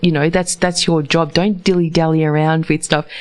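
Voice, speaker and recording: Here is a woman with a New Zealand accent and a very deep, low pitch. Her intonation stays fairly even. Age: 50s. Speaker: radio host. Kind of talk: casual interview.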